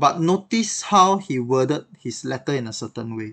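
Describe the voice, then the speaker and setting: This man's voice sits at a medium pitch with ordinary pitch variation. The background is quiet. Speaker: stand-in devotional podcast host. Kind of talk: devotional teaching. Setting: recorded podcast.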